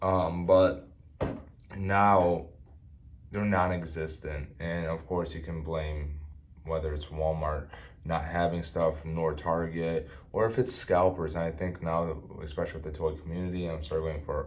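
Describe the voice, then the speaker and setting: A man's very deep, low voice with an American accent, fairly slow and monotone, with audible room echo. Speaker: toy reviewer. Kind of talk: product review. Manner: halting, many fillers.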